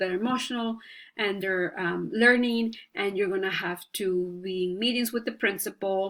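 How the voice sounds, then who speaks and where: In a very clean recording with a silent background, a woman talks at a moderate pace with a bright, sharp tone. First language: Spanish. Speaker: student, stay-at-home mom. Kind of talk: class presentation. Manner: halting, many fillers.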